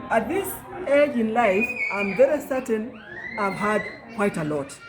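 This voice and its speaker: Amid audible room echo and music in the background, a woman speaks in a fairly high pitch with very wide pitch swings. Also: fairly slow pace. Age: 60s. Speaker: job candidate being vetted. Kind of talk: interview.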